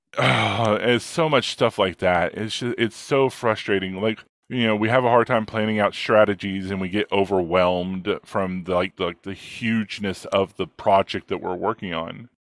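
A plain, everyday voice with fairly even intonation and hardly any pauses. The recording is very clean and dry, close-up with a silent background and no echo. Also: man, fairly low pitch for a man, moderate pace. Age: 40s. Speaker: ADHD coach. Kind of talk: casual interview.

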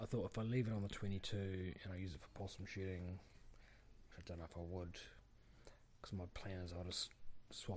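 A man with a New Zealand accent speaks fairly quickly in a very deep, low, somewhat breathy voice with fairly even intonation. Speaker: farmer, podcast co-host. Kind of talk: casual chat.

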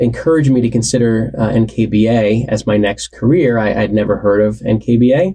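A man with a US Northeastern accent speaks at a fairly slow pace and medium pitch. His tone is dark and mellow, with ordinary pitch variation and very even loudness. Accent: US Northeast. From New Jersey, Warren County. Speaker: association CEO. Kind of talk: interview.

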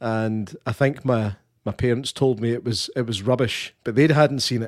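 Here a man talks in a Scottish accent at medium pitch. The pace is moderate, and the sound is dry and close with no echo. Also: very clean recording, silent background. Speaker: podcast co-host. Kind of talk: live podcast interview.

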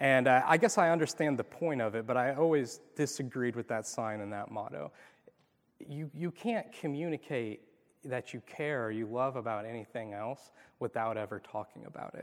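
A man speaks with a normal speaking voice at a moderate pace. His pitch is medium, with ordinary pitch variation. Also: big swings in loudness. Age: 30s. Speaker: youth pastor. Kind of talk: sermon. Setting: church.

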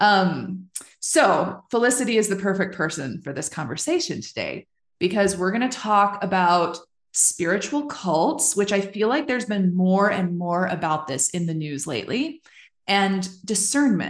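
At a moderate pace, a woman talks in a normal speaking voice of medium pitch, her intonation lively against a quiet background. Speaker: podcast host. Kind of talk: casual interview chat.

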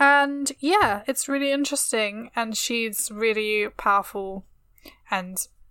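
A woman's fairly high voice with a British accent and ordinary pitch variation, on a very clean recording with a silent background. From England. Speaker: history podcast co-host. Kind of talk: casual chat.

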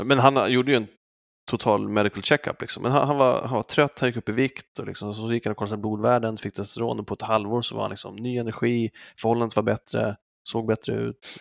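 Over a quiet background, a man talks very fast at a medium pitch with fairly even intonation, the sound dry and close with no echo. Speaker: podcast co-host. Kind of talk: casual chat.

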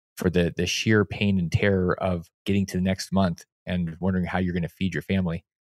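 The voice speaks in a flat monotone at a fairly quick pace with hardly any pauses. The recording is very clean, with a silent background. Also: man, very deep, low pitch for a man. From Alaska. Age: 40s. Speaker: investor and financial educator. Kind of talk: interview.

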